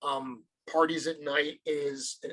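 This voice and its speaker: A man speaks with a strong US Northeast accent. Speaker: toy company sales and marketing director. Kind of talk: podcast interview.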